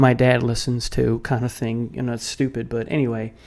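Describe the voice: At a fairly quick pace, a man talks at medium pitch with little pitch movement and a slightly mellow tone.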